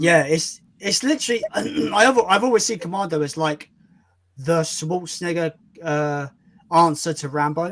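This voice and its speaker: In a British accent, a man speaks in a high voice at a moderate pace. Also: ordinary pitch variation. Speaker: film YouTuber streaming. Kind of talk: casual chat.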